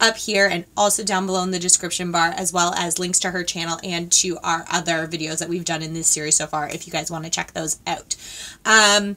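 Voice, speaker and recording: A woman talks at a fairly quick pace and a fairly low pitch, keeping her intonation fairly even. She has a normal speaking voice. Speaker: beauty vlogger. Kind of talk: casual vlog chat. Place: home room.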